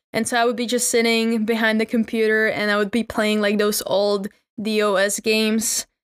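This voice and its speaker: A woman with a Czech accent and fairly high pitch speaks in a monotone, flat intonation, with a dry, close sound with no echo on a very clean recording with a silent background. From Czech Republic. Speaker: podcast host. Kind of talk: casual monologue.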